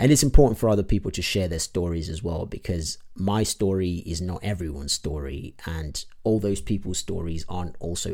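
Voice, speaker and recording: A man speaks at a moderate pace in a very deep, low pitch that is somewhat breathy. The recording is very clean, with a silent background. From Zimbabwe. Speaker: podcast host. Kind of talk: solo podcast update monologue. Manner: hesitant, many filler words.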